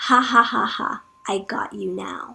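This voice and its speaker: A woman's raspy, put-on character voice at a fairly slow pace. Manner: evil, menacing laugh.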